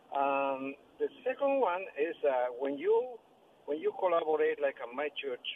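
A man with a Spanish accent. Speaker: caller. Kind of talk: casual chat. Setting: phone call. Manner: halting.

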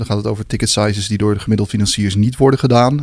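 A man speaks in a fairly low voice. His intonation stays fairly even. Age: 40s. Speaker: co-founder of a corporate finance firm. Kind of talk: interview. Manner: hesitant, many filler sounds.

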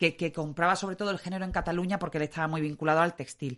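A woman talks at a very fast pace with a very deep, low pitch and monotone, flat intonation. The background is quiet. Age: 40s. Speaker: local historian. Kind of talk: casual conversation.

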